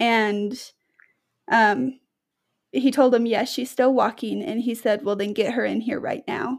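A woman with an American accent speaks at a fairly slow pace, her pitch fairly high and intonation fairly even. She leaves long, frequent pauses. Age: 20s. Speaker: patient with rare genetic disease. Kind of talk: interview. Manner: casual, hesitant with fillers.

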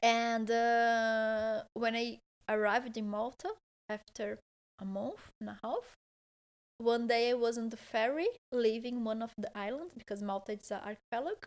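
A woman's fairly high voice with a Portuguese accent, at a moderate pace, with fairly even intonation. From southern Brazil, Porto Alegre. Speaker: holistic therapist and engineer. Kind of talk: casual interview. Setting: in a home, on a couch. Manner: halting, many fillers.

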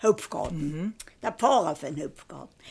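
On a very clean recording with a silent background, a woman with a strong East Tyrolean accent speaks with lively intonation. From East Tyrol, Austria. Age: 90s. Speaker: retired mountain farmer and conservation activist. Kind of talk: life story interview. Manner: halting.

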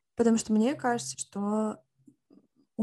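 Against a quiet background, a woman speaks at a moderate pace with a medium pitch and fairly even intonation. Her somewhat breathy voice has a dark, mellow tone and a dry, close sound with no echo. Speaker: podcast co-host. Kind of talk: casual chat.

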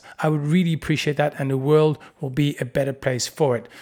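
In a very clean recording with a silent background, a man talks at a moderate pace with a dark, mellow tone. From Netherlands. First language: Dutch. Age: 40s. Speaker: podcast host. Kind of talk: solo podcast monologue.

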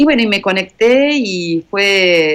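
Her pitch makes very wide swings. The speaker is a woman. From Argentina. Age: 50s. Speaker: journalist, volunteer traveler. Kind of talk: interview, personal testimony.

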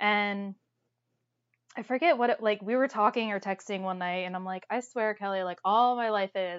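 A woman with an American accent speaks at a medium pitch and a moderate pace, with ordinary pitch variation. It is an ordinary speaking voice. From Toledo, Ohio. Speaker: podcast co-host. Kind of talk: casual chat.

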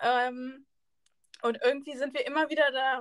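Speech comes at a moderate pace. Its tone is bright and sharp. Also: woman. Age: 20s. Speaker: podcast co-host, student teacher. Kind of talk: casual chat.

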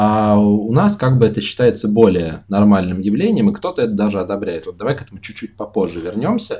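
Fairly low in pitch, a man's voice has a dark, mellow tone. He speaks at a fairly quick pace. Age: 20s. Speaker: podcast co-host. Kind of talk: casual chat. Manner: hesitant, says 'uh' a lot.

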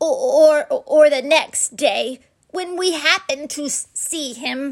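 A woman squeaks out a put-on character voice at an extremely high pitch. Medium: read story. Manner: timid, anxious.

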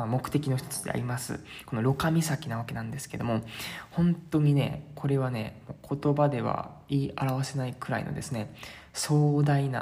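This man's voice is somewhat breathy, with a fairly high pitch. His tone is relaxed and his intonation fairly even. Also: moderate pace. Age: 20s. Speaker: travel podcaster. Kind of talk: casual solo monologue. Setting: staying at a host family's house in Sintra. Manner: filler-heavy, relaxed. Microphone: strong echo.

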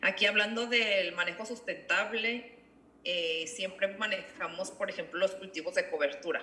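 Speaking in an ordinary speaking voice, a woman goes at a fairly slow pace, her medium pitch showing ordinary variation. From Ensenada, Baja California, Mexico. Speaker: winemaker. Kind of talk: interview.

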